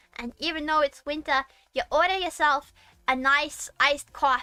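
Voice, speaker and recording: A woman's high, raised, projected voice with an American accent, music in the background. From Massachusetts, Boston area. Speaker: VTuber streamer. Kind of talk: casual livestream chat. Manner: animated.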